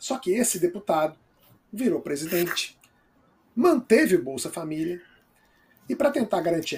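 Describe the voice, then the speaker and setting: A man's high voice with very wide pitch swings, at a fairly slow pace. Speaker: talk show host. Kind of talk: live political talk show.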